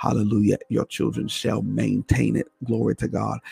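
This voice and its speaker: A man talks at a moderate pace, his voice dry and close with no echo. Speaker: preacher and radio host. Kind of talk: fervent prayer, intercessory. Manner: impassioned, repetitive, urgent; exclaiming, praying aloud.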